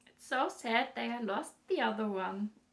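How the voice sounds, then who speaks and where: Speaking very slowly in a German accent, a woman has a fairly high pitch and a somewhat breathy voice. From northern Germany. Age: 20s. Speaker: knitting podcaster. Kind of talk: casual monologue podcast. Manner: halting, many fillers.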